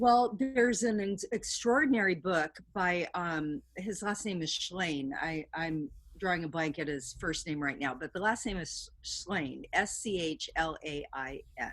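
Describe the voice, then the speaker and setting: In a very clean recording with a silent background, a woman with a plain, everyday voice speaks at a medium pitch with lively intonation. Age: 60s. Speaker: artist and educator. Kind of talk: interview.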